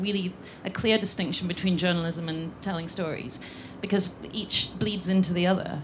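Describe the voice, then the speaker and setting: Amid noticeable background noise, a woman with a medium pitch speaks at a moderate pace. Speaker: columnist and film writer. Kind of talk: panel discussion.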